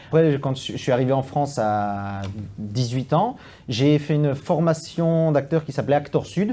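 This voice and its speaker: Speaking with a slight Belgian accent, a man uses a fairly high pitch, a dark, mellow tone and lively intonation at a fairly slow pace. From Belgium. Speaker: stage actor and playwright. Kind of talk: interview. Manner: halting, many fillers and repetitions.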